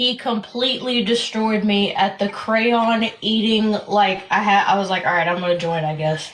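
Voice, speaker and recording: At a moderate pace with hardly any pauses, a woman speaks at a medium pitch with ordinary pitch variation, amid audible room echo and noticeable background noise. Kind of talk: casual chat.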